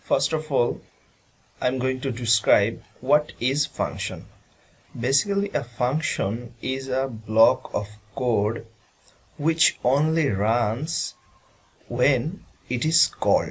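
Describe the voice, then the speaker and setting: Speaking very slowly with long, frequent pauses, a man with a medium pitch and ordinary pitch variation sounds somewhat breathy. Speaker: student presenter. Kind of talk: presentation. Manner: formal.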